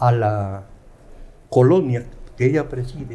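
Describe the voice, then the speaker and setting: A man's medium-pitched voice, dark and mellow in tone and somewhat breathy, shows ordinary pitch variation as he talks. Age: 70s. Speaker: law professor. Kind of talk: interview storytelling.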